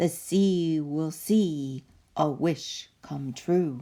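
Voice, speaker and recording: Gruff and rumbling, a put-on character voice moves at a very slow pace on a very clean recording with a silent background. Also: female-sounding voice. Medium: read story. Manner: gruff, grumbling.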